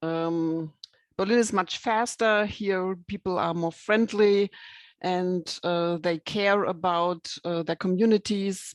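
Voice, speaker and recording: A woman with a German accent talks at a fairly slow pace and medium pitch, her intonation fairly even. The sound is dry and close with no echo, over a quiet background. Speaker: rural development project coordinator. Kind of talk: online presentation. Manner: halting.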